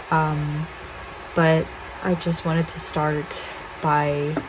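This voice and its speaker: A woman speaks in a very deep, low pitch with monotone, flat intonation, with audible room echo and noticeable background noise. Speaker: tarot reader. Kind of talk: pick-a-card tarot reading. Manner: low energy; quiet, kept down.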